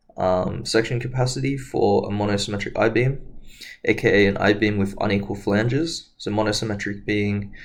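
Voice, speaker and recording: Fairly low male voice with ordinary pitch variation and audible room echo. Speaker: engineering tutor. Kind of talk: lecture. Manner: hesitant, many fillers.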